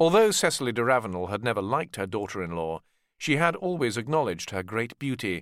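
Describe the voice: On a very clean recording with a silent background, a man speaks at a medium pitch in a clear, smooth, fairly bright tone.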